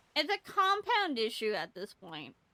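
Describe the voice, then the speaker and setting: A woman projects her raised voice in a bright, sharp, animated tone with very wide pitch swings. The sound is dry and close, with no echo. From Canada, British Columbia. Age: 20s. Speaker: VTuber streamer. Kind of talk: casual live-stream chat. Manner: animated, halting with many restarts.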